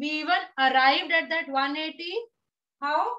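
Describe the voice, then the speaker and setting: In an Indian accent, a woman uses a raised, projected voice that is bright, sharp and extremely high-pitched, with fairly even intonation. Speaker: teacher. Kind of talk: lecture. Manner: slow, steady.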